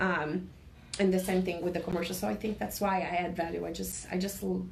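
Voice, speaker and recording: Speaking at a fairly quick pace with a non-native accent, a woman is heard over noticeable background noise with audible room echo. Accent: noticeable foreign. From Brazil. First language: Portuguese. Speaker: insurance agent. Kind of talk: interview. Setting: radio studio. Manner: halting with repetitions.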